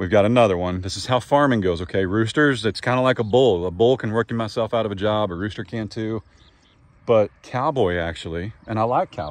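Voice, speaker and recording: In a normal speaking voice, a man talks at a fairly quick pace, his fairly low pitch showing ordinary variation. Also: dry sound with no echo. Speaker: farmer vlogger. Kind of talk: casual vlog chat. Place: open country. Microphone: phone near.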